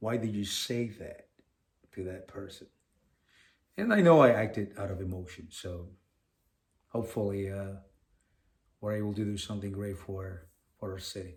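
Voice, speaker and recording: Somewhat breathy and fairly low-pitched, a man speaks at a moderate pace with fairly even intonation, big swings in loudness, and long, frequent pauses. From Venezuela. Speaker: podcast co-host. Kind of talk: casual podcast chat.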